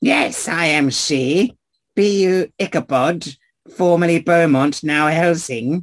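Putting on a raspy character voice, a man speaks at a high pitch and a fairly slow pace.

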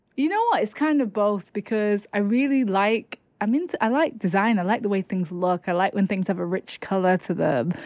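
Speaking with a Lancashire accent, hardly any pauses, lively intonation and very even loudness at a moderate pace, the voice has a dry, close sound with no echo. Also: woman, medium pitch for a woman. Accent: northern English (Lancashire). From northwest England, Chorley. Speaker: poet and author. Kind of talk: interview.

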